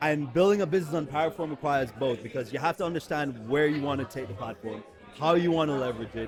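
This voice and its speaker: A man with an American accent talks at a very fast pace. Music plays in the background. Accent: sounds American, Jamaican accent suppressed. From Jamaica. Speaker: recruiter. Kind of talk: casual chat. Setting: live event at a gala.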